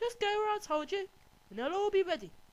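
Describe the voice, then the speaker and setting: A squeaky, put-on character voice from a woman, extremely high in pitch, at a very fast pace. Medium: read story. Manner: bright, innocent-sounding.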